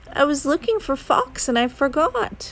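A woman puts on a character voice at a high pitch with a fairly bright tone. Her pitch makes big swings. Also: moderate pace.

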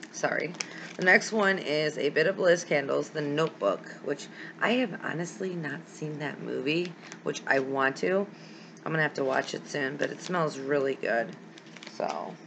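A woman's very deep, low pitch at a moderate pace amid noticeable background noise. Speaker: candle wax hobby vlogger. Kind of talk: casual vlog chat. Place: home room. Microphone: webcam.

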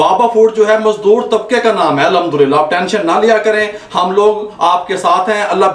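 A man with a high pitch talks with ordinary pitch variation, and room echo can be heard. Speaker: cooking show host. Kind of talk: tutorial. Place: kitchen.

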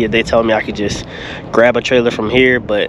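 A man speaks at a fairly quick pace with fairly even intonation. The sound is dry with no echo, and background noise is noticeable. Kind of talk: casual vlog chat. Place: street. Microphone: phone near.

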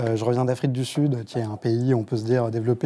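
This man speaks at a medium pitch with a dark, mellow tone and a fairly quick pace. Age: 30s. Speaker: journalist; journalist panelist. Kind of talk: panel discussion. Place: studio. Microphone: lapel.

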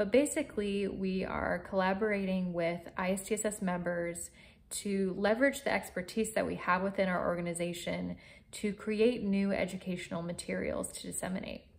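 With fairly even intonation, the woman keeps a moderate pace. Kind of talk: informational talk to camera. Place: home room. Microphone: phone near.

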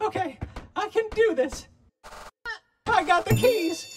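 Music plays behind a cartoonish character voice pitched extremely high and delivered at a fairly slow pace. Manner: timid, confused, slow.

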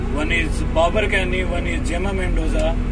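The pace of the speech is fairly slow. Loud music plays in the background. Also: man. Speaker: bus driver vlogger. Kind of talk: casual vlog chat. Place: bus. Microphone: phone near.

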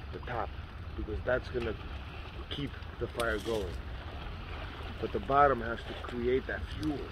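A man at medium pitch, fairly slow pace and ordinary pitch variation

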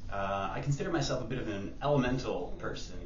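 A man with a fairly low voice and ordinary pitch variation is heard with audible room echo and light background noise. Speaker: fire performer. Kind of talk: contest video submission. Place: hall. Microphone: camera far.

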